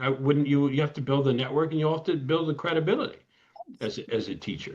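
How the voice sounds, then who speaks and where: In an American accent, a man speaks with a somewhat breathy, fairly high-pitched voice. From US Midwest, Ann Arbor, Michigan. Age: 60s. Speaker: lawyer. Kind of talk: interview. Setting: podcast.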